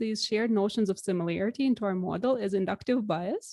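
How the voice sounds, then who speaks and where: In a Russian accent, a woman speaks at a fairly high pitch with ordinary pitch variation. Her tone is dark and mellow, and the sound is dry and close with no echo. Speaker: researcher. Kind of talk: lecture.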